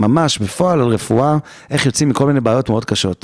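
A man at a fairly quick pace with ordinary pitch variation, in a very clean recording with a silent background and a dry, close sound with no echo. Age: 40s. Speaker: holistic therapist. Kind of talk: interview. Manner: animated.

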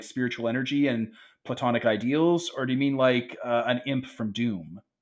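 At a moderate pace, a man talks at a medium pitch. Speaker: tabletop roleplaying game player. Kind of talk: casual roleplaying game session with banter. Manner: animated, joking, swears casually.

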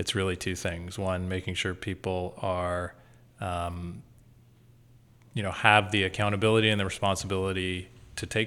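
A man's fairly low voice with a Canadian accent, bright and sharp in tone, at a moderate pace with fairly even intonation. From Canada, Toronto. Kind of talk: interview. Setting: office building in Toronto.

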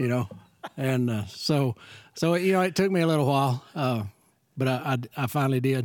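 Speaking in a Texan accent, a man keeps a moderate pace and takes long, frequent pauses. His pitch sits in the medium range and varies in an ordinary way. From rural West Texas. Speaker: church member. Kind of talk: casual chat.

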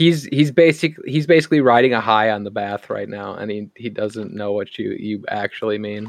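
The speaker reads aloud. The voice is natural.

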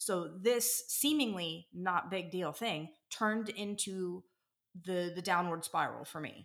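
At a fairly slow pace, a woman talks in an ordinary speaking voice of medium pitch with ordinary pitch variation. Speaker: paramedic and EMS captain. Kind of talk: interview.

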